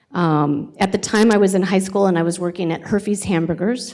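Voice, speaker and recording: A woman with a West Coast accent at a fairly quick pace. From California (Sacramento). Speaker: college president. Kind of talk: job interview presentation. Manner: hesitant, many fillers.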